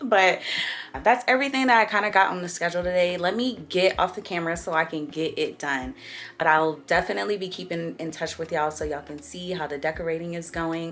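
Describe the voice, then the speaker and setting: In a raspy, put-on character voice, the speaker races along at a very fast pace with lively intonation. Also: woman, fairly low pitch for a woman. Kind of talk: casual vlog. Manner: talking fast, hurried.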